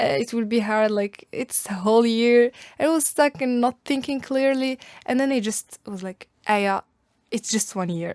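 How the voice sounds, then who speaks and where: A woman's fairly high voice with an Arabic accent and lively intonation, at a moderate pace, in a dry, close sound with no echo. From Algeria. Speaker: university student. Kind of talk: podcast interview.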